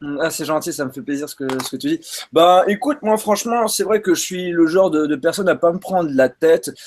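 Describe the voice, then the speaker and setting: A man with a high-pitched voice, ordinary pitch variation and a fairly quick pace. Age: 20s. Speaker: tech youtuber. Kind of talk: casual chat.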